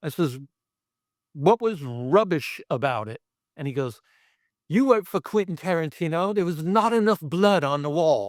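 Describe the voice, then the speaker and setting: A man with a Brooklyn accent speaks in a high voice, his pitch swinging very widely, with long, frequent pauses. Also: moderate pace, dry, close sound with no echo. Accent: New York (Brooklyn). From Brooklyn, New York. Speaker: special effects artist. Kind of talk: casual interview storytelling. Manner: animated.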